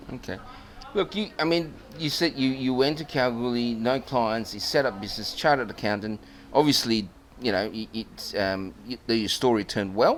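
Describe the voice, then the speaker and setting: Noticeable background noise sits behind a man speaking at a moderate pace. His pitch is medium, with ordinary variation. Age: 60s. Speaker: podcast host and geologist. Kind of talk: interview. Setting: club venue.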